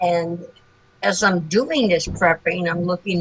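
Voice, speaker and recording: A woman talks at a fairly slow pace, her pitch fairly low, as noticeable background noise carries on. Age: 80s+. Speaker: new sales consultant. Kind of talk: testimony. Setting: video call.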